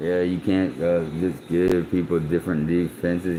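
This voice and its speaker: Mumbling at a fairly slow pace, a man talks in a very deep, low pitch. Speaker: livestreamer. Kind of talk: casual live stream monologue.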